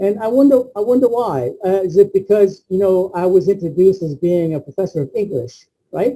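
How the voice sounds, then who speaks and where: A man with an American accent talks at a fairly quick pace in a high pitch. His tone is dark and mellow, his intonation lively. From Cuban American. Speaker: professor. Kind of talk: keynote lecture. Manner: animated.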